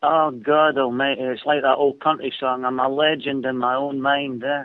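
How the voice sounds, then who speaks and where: A man's fairly high voice in a Scottish accent, monotone and flat, at a moderate pace. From Scotland. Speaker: caller. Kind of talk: call-in radio chat.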